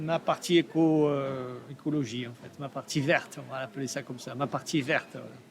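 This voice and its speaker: A man's fairly high voice at a fairly slow pace, with a slight southern French accent and ordinary pitch variation. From Provence, southern France. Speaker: artist, steel sculptor. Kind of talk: podcast interview. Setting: art fair. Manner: hesitant, many fillers.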